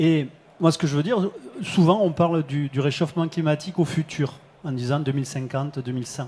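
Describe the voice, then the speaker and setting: A man talks at a fairly quick pace and a fairly high pitch, somewhat breathy. His tone is dark and mellow, with ordinary pitch variation. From southern France. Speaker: company head, risk forecasting expert. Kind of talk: panel discussion. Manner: hesitant, many fillers.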